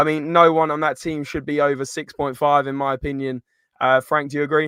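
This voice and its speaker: Against a quiet background, the speaker talks fairly quickly in an English accent with a bright, sharp tone and monotone, flat intonation. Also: man, fairly high pitch for a man, dry, close sound with no echo. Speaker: football podcast host. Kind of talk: live stream match review.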